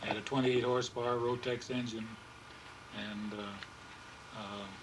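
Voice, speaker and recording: Amid noticeable background noise and audible room echo, a man speaks at a medium pitch with a Midwestern US accent. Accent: US Midwest. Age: 80s+. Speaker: pilot and aircraft builder. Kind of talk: interview. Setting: home room. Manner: halting.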